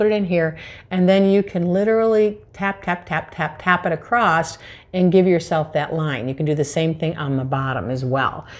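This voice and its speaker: Lively intonation marks speech delivered at a fairly quick pace. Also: woman. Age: 60s. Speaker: permanent makeup artist; makeup tutorial host. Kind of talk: tutorial. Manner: casual, conversational. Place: home room.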